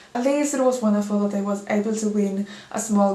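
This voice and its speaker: There is noticeable background noise and audible room echo. A woman talks at a moderate pace with ordinary pitch variation. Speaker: figure skating commentator. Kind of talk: casual video commentary.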